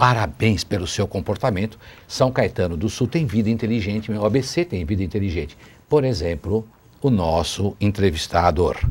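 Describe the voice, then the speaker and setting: This man talks in a fairly low, somewhat breathy voice with lively intonation. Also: moderate pace. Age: 60s. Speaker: city councillor, politician. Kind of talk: TV interview. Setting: TV studio, live.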